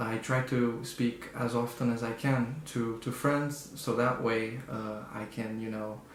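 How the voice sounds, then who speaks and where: A man speaks at a fairly slow pace with hardly any pauses, his medium-pitched voice flat and monotone. Noticeable background noise and audible room echo fill the recording. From Brazil. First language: Portuguese. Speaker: student. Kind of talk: interview answer. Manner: hesitant, many fillers.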